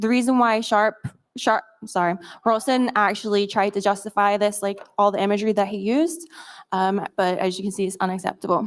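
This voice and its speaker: Speaking at a moderate pace, a woman keeps a medium pitch with fairly even intonation. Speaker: media monitoring communications staff. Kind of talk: conference presentation.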